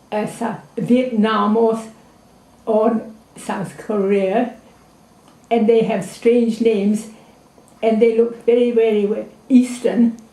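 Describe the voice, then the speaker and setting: With long, frequent pauses and a very slow pace, a woman speaks in a fairly high, monotone, flat voice, and the room echo is audible. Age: 80s+. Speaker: anthropologist and teacher. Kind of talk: interview. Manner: halting.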